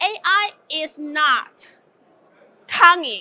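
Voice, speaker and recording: A woman speaks in a raised, projected voice at an extremely high pitch. Her tone is animated, bright and sharp, with lively intonation. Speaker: conference speaker. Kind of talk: conference talk. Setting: stage with audience. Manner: loud.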